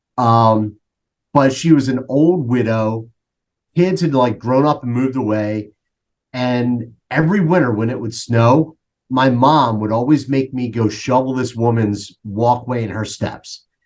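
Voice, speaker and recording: A man in a Philadelphia accent, medium-pitched with ordinary pitch variation, at a fairly slow pace. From Philadelphia, US. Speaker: coach. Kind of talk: casual interview.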